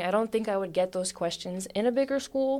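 A woman's ordinary speaking voice with an American accent and fairly even intonation, on a very clean recording with a silent background. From Philadelphia, US. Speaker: college track athlete. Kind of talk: podcast interview.

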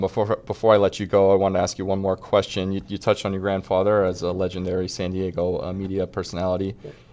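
Hardly pausing, a man with an American accent speaks at a very fast pace in a very deep, low voice with monotone, flat intonation. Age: 20s. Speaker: podcast host. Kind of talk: interview. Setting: studio.

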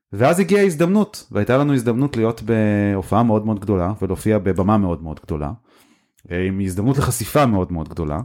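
In a very clean recording with a silent background, a man with a fairly low pitch talks at a very fast pace with lively intonation. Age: 30s. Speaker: startup CEO and co-founder. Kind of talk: casual interview chat.

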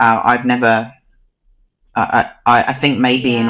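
A man at medium pitch with a New Zealand accent. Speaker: dog photographer. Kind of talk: interview.

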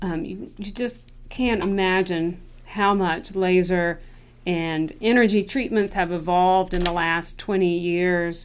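A woman with an American accent speaks in an unremarkable speaking voice, her medium pitch carried on fairly even intonation. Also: fairly slow pace. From North Carolina. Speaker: dermatologist. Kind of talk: solo podcast monologue.

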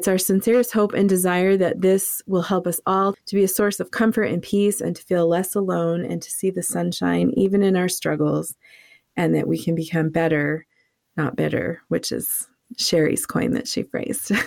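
A woman speaks at medium pitch with an ordinary speaking voice. Her pace is moderate, with ordinary pitch variation. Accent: American. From New England, US. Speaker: podcast host. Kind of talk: casual conversational podcast intro.

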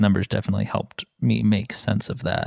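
Vocal fry in a Midwestern US accent at a moderate pace, with a dry, close sound and no echo. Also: man. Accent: US Midwest. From South Bend, Indiana. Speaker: podcast host. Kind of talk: casual chat.

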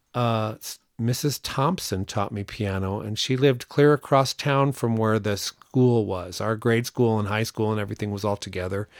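A normal speaking voice moves at a moderate pace with ordinary pitch variation and hardly any pauses, in a very clean recording with a silent background. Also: man. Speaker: podcast host. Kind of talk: casual chat.

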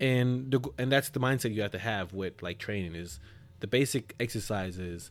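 A man talks at a moderate pace in a fairly low voice. Music plays in the background. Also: ordinary pitch variation. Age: 30s. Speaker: personal trainer. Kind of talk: casual chat.

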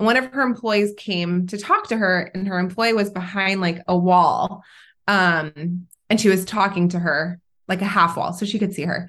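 A woman of medium pitch speaks at a moderate pace with fairly even intonation over a quiet background. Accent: Californian. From Southern California. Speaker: entrepreneur. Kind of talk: casual chat.

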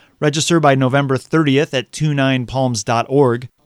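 This man has a normal speaking voice with a fairly high pitch. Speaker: radio reporter. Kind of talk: news reading. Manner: clear, upbeat, polished.

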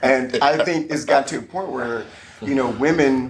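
A man with a medium-pitched voice and normal pitch movement talks while noticeable background noise carries on. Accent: American. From military family, Kentucky and Virginia. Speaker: life coach and entrepreneur. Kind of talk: casual chat.

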